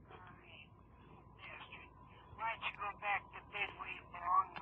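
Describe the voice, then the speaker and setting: A woman's monotone, flat voice at a fairly slow pace with long, frequent pauses over light background noise. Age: old. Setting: phone line. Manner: angry, cursing. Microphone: phone line.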